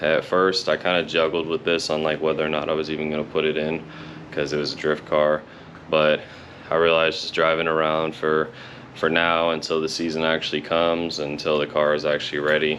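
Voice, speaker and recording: A man's very deep, low voice in a flat monotone at a moderate pace, with noticeable background noise. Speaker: car hobbyist vlogger. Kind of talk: casual vlog. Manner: hesitant, many fillers.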